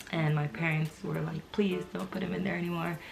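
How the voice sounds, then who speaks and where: A woman talks with a very deep, low pitch. Noticeable background noise can be heard. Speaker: mommy vlogger. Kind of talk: casual vlog talk to camera. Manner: hesitant with fillers.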